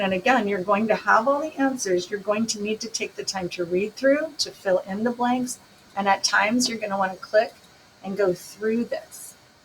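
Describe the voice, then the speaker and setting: Amid noticeable background noise, a woman with a fairly high pitch speaks at a moderate pace with ordinary pitch variation. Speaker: math teacher. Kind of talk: recorded lesson. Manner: casual.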